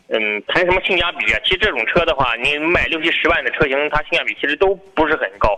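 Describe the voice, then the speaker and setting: A high-pitched man's voice at a very fast pace, lively in intonation, over noticeable background noise. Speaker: car sales expert guest. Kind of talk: live radio call-in chat. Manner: easygoing, joking.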